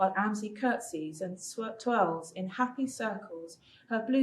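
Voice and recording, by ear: Here a passage is read aloud in a natural voice.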